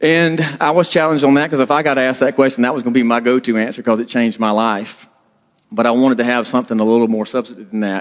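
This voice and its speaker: A man's medium-pitched voice at a very fast pace, ordinary pitch variation, in a strong Southern US accent. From South Carolina, US South (Blackville). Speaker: state trooper, lay preacher. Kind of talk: sermon. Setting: church. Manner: casual, self-deprecating.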